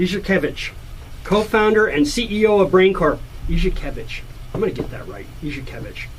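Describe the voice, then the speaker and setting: The speech runs at a fairly quick pace with ordinary pitch variation and big swings in loudness, over noticeable background noise. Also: man, high pitch for a man. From United States. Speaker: radio host. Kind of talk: radio interview.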